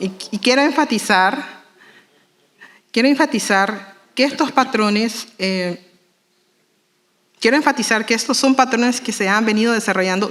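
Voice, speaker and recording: A woman with a fairly high voice and ordinary pitch variation speaks with long, frequent pauses. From Nicaragua Caribbean Coast, Miskito people. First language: Miskito (speaking Spanish). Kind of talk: formal speech at panel. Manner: formal; fast.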